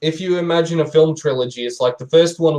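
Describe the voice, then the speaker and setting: His delivery has a somewhat breathy quality. The man keeps a fairly quick pace. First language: not English. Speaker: book reviewer on a panel. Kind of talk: casual chat. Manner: halting.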